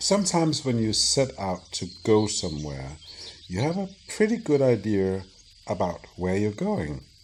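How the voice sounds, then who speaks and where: A man speaks in a calm tone at a fairly slow pace, his fairly low voice moving through very wide pitch swings. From Denmark. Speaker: storyteller. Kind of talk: sleep story. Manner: slow, calm.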